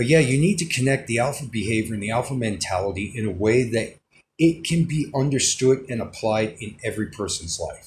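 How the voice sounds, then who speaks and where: With ordinary pitch variation and a moderate pace, the speaking sounds somewhat breathy. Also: man. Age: 30s. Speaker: vlogger. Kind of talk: casual monologue. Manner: halting.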